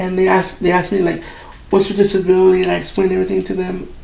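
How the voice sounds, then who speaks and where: Very fast male speech with audible room echo. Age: 30s. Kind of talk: casual talk while drawing. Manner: halting, with many repeated words.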